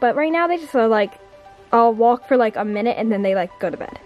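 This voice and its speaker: A woman at a fairly quick pace, faint music in the background, dry sound with no echo. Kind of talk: casual vlog chat. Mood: delighted, soft, giggly. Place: home room. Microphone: phone near.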